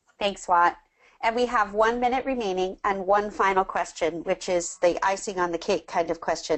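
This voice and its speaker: This woman has a normal speaking voice, talking at a moderate pace with ordinary pitch variation. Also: medium pitch for a woman. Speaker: webinar presenter. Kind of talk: webinar Q&A.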